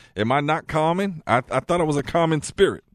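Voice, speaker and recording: A man with an American accent has a plain, everyday voice, fairly high in pitch. He talks at a fairly quick pace in a dry, close sound with no echo and a quiet background. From San Francisco Bay Area, US. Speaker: radio co-host. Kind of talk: casual banter radio show chat. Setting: radio studio.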